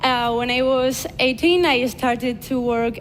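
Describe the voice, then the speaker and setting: A woman speaks at a fairly high pitch and a fairly slow pace. Audible room echo surrounds her voice. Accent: Spanish. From Basque Country, Spain (Vitoria). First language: Spanish. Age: 20s. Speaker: influencer and speaker. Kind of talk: conference talk. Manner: halting, many fillers.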